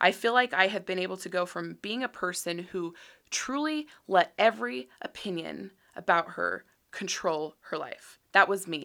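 A woman with an American accent, medium in pitch and bright, sharp in tone, at a moderate pace, with vocal fry and big swings in loudness. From Utah. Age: 30s. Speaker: podcast host. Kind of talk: monologue. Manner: casual, many fillers.

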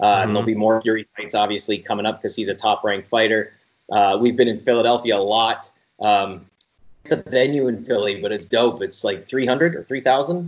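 This man's voice rests at a medium pitch and rises and falls in an ordinary way. He delivers his words at a fairly quick pace. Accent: Ontario. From Canada, Sault Ste. Marie, Ontario. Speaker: arena entertainment producer. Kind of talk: casual interview.

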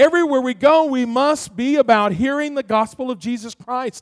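An extremely high-pitched man speaking fairly quickly, in a dry, close sound with no echo. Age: middle-aged. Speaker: pastor. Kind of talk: sermon.

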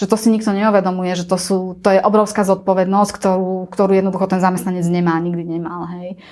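A woman's medium-pitched voice at a very fast pace, in a monotone, flat intonation. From central Slovakia, near Banská Štiavnica. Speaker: travel agency owner and CEO. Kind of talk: interview.

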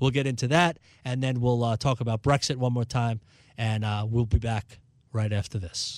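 This man has a plain, everyday voice with an American accent, medium pitch, and fairly even intonation. He keeps a moderate pace on a very clean recording with a silent background. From New York City, Brooklyn. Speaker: financial advisor and radio host. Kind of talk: radio talk show on investing.

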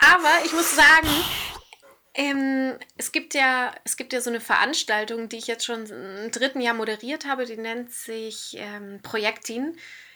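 A woman's high voice at a fairly slow pace, with ordinary pitch variation and noticeable background noise. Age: 30s. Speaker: radio presenter. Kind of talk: casual chat. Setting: remote call from hotel room.

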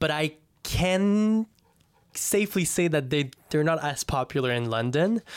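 In a normal speaking voice, a man with a fairly high pitch talks at a fairly slow pace with lively intonation and very even loudness, in a dry, close sound with no echo. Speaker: podcast host. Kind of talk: casual chat. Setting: studio.

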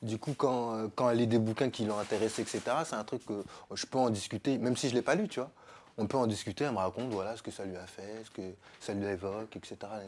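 Recorded very cleanly over a silent background, a man with an unremarkable speaking voice keeps a medium pitch, fairly even intonation and a fairly quick pace. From Paris suburbs (Sarcelles), France. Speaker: podcast guest. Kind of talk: casual chat.

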